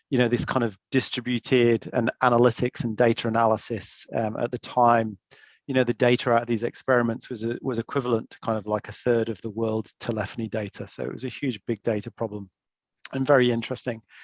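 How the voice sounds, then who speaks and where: A man with an English accent speaks at a fairly quick pace in a medium pitch with monotone, flat intonation. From England. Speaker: investment banker, panelist. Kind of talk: webinar panel talk. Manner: halting, many fillers.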